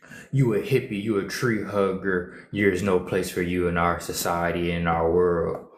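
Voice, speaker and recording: There is audible room echo around this man. He speaks with a very deep, low pitch and fairly even intonation. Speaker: social media streamer. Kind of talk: casual livestream monologue. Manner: repetitive, emphatic.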